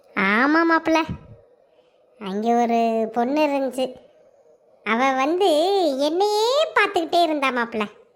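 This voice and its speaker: Using a cartoonish character voice, a woman speaks with high pitch and very wide pitch swings at a fairly slow pace. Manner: rambling, colloquial Tamil.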